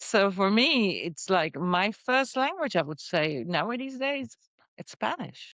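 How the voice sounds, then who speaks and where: A very slow woman's voice in a Dutch accent, medium in pitch, with very wide pitch swings. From Netherlands. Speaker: entrepreneur. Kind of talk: podcast interview.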